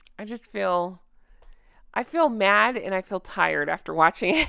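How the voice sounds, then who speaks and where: A woman puts on a raspy character voice at a medium pitch. She keeps a moderate pace, and the sound is dry and close with no echo. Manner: mad, exasperated.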